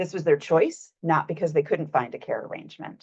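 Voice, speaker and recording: The background is quiet. A woman speaks at a fairly quick pace. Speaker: researcher presenting findings. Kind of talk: presentation of research findings. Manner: fast.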